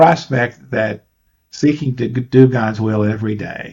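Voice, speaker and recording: A somewhat breathy male voice at a medium pitch. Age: 70s. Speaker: attorney. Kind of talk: interview answer.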